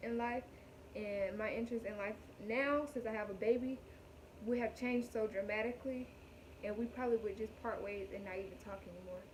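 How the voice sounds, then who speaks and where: A woman's fairly high voice at a fairly quick pace, with long, frequent pauses, fairly even intonation, and noticeable background noise. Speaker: vlogger, new mother. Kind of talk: casual vlog talk to camera.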